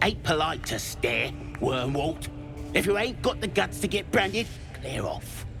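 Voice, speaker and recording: Over loud music in the background, a man does a put-on character voice at a moderate pace. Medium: machinima. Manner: crude, slangy.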